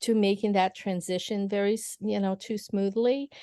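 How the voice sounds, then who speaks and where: Dry and close with no echo, a woman with a Portuguese accent speaks in a dark, mellow tone at medium pitch with fairly even intonation. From Brazil. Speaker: lawyer. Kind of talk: casual chat. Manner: hesitant, many fillers.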